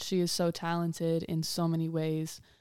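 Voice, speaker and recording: A woman with an American accent, a fairly low pitch and a dark, mellow tone, on a very clean recording with a silent background. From Ohio, US Midwest. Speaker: fashion designer. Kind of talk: interview.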